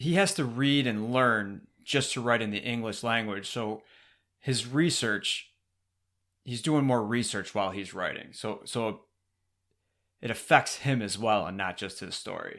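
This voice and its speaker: An unremarkable speaking voice belongs to a man who talks at a fairly slow pace with a medium pitch and ordinary pitch variation. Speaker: podcast host. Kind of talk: podcast talk.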